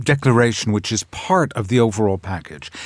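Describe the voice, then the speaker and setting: A man with lively intonation and a medium pitch talks at a moderate pace. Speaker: journalist and broadcaster. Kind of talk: panel discussion. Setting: studio. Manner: halting.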